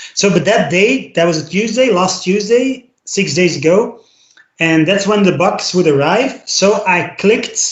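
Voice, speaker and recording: In a Flemish accent, a man speaks at a fairly slow pace with a high pitch and ordinary pitch variation. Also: very even loudness. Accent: Belgian (Flemish) English. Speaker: podcast co-host. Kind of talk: casual chat. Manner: halting, many fillers and repetitions.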